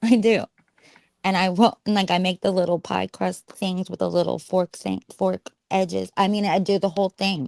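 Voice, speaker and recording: A woman speaks with an American accent at a medium pitch and moderate pace, her intonation fairly even and the sound dry and close with no echo. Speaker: former radio host. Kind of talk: casual chat on a live stream.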